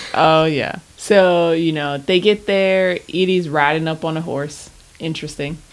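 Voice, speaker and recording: This is an unremarkable speaking voice. It moves at a fairly slow pace with fairly even intonation. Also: woman, fairly low pitch for a woman. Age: 30s. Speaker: podcast co-host. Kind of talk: casual chat.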